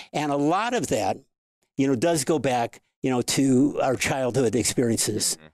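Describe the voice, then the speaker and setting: This man has an ordinary speaking voice at a medium pitch, with ordinary pitch variation. He keeps a moderate pace and very even loudness. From US Midwest, St. Louis, Missouri. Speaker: sex coach and author. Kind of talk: interview conversation.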